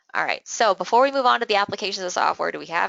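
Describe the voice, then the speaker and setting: Using vocal fry and lively intonation, a woman talks at a very fast pace. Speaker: sales trainer. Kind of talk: training lecture.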